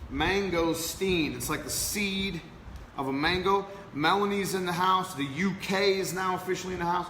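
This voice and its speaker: With an American accent, a man talks at a moderate pace in an animated tone, his raised, projected voice pitched high, with audible room echo and noticeable background noise. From Kansas, US. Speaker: podcast host. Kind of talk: casual chat.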